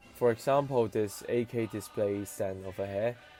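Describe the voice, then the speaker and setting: This man talks fairly slowly with ordinary pitch variation while music plays behind him. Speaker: scale model reviewer. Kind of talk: scripted voiceover review.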